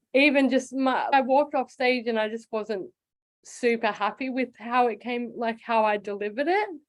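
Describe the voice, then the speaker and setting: High in pitch, a woman with an Australian accent speaks with ordinary pitch variation. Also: moderate pace. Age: 30s. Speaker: comedian. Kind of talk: casual chat. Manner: halting.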